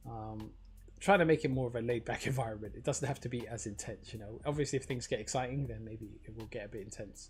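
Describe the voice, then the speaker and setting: With big swings in loudness, a man speaks at a very fast pace in a medium pitch, showing ordinary pitch variation and vocal fry. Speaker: crypto livestreamer. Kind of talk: casual livestream commentary. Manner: hesitant, filler-heavy.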